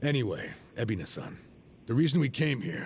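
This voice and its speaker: A man puts on a raspy character voice at a medium pitch. He moves at a fairly quick pace. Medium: video game. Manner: dry, gruff.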